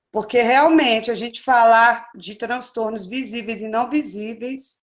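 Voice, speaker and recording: A woman speaks in an ordinary speaking voice. Her pace is fairly slow and her pitch fairly high. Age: young. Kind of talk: interview.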